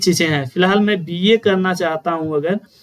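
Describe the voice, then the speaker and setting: A man is speaking. Music plays in the background. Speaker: online tutor. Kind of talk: tutorial.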